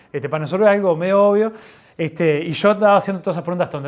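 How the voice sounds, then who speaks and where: This man's voice sits at a high pitch, with ordinary pitch variation. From Uruguay. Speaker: pastor. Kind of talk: sermon. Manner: halting, with many false starts.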